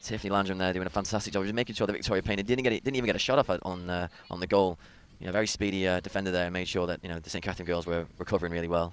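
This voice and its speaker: With a British accent, a man speaks at a very fast pace in a very deep, low pitch and fairly even intonation. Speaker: soccer color commentator. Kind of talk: live commentary.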